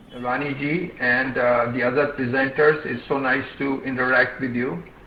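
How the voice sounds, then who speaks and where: Amid noticeable background noise and audible room echo, a man with a medium pitch talks at a moderate pace with fairly even intonation. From India, Hyderabad. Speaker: social development expert, retired IT analyst. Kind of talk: webinar talk. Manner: halting.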